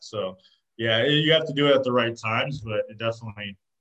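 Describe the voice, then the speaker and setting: This man has a normal speaking voice and an American accent. He talks at a moderate pace with ordinary pitch variation. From Arizona. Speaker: clothing brand co-founder. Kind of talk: casual interview.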